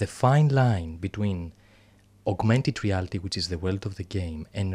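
Somewhat breathy and fairly low in pitch, a man with a Greek accent speaks at a moderate pace in a very clean recording with a silent background. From Greece. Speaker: clinical psychologist. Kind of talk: interview. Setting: studio.

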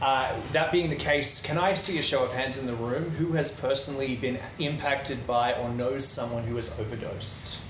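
A man's fairly high voice at a moderate pace with hardly any pauses and ordinary pitch variation, with audible room echo and noticeable background noise. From Netherlands. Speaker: event speaker. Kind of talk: public talk.

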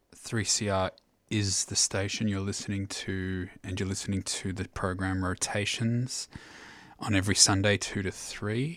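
Speech at a fairly slow pace with a monotone, flat intonation comes through on a very clean recording with a silent background. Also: man, fairly low pitch for a man. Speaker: radio DJ. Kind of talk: radio dj patter introducing and back-announcing tracks. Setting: radio studio broadcast. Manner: casual, laid-back, hesitant with frequent 'um' fillers; unhurried, conversational, informal.

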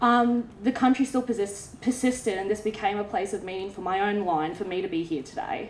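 With an Australian accent, a woman speaks at a fairly quick pace and medium pitch, using ordinary pitch variation and hardly any pauses over noticeable background noise. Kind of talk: panel discussion.

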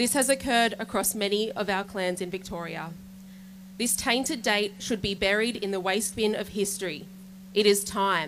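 An Australian accent with fairly even intonation at a moderate pace, on a very clean recording with a silent background. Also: woman, medium pitch for a woman. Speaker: rally speaker reading a statement. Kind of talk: rally speech read aloud. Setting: outdoor protest rally.

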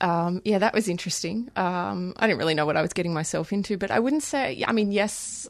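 In an Australian accent, a woman speaks with a fairly low pitch and ordinary pitch variation against a quiet background. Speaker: human rights lawyer. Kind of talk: interview. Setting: studio.

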